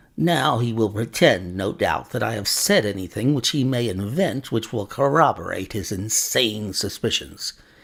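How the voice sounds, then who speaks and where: A man's put-on character voice, growling and smug, at a moderate pace. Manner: snarling, smug.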